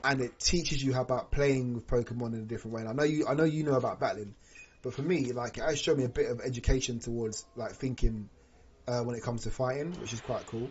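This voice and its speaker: A man at a very fast pace, medium in pitch. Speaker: gaming streamer. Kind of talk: live stream chat. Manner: animated.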